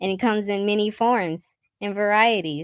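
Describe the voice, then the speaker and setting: A woman talks at a medium pitch in an unremarkable speaking voice with ordinary pitch variation. The recording is very clean, and the background is silent. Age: 20s. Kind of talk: interview conversation.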